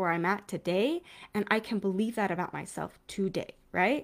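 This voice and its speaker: A normal speaking voice from a woman, fairly high in pitch, at a moderate pace, on a very clean recording with a silent background. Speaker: parenting coach. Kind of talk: casual monologue. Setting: home video recording.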